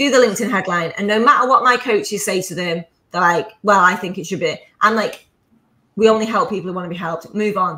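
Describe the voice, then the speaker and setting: Speaking very fast in a northern English accent, a woman with a medium pitch and a bright, sharp tone shows ordinary pitch variation and big swings in loudness. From northern England. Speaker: entrepreneur, business coach. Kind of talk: podcast interview. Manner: animated.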